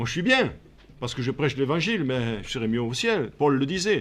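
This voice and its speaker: The man's fairly high voice swings very widely in pitch while he holds a moderate pace. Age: 70s. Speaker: pastor. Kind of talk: sermon.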